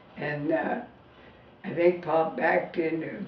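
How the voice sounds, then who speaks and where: Against noticeable background noise and audible room echo, a woman with an American accent talks at a very slow pace. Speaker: elderly woman recalling her life. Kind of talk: casual family interview. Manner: halting.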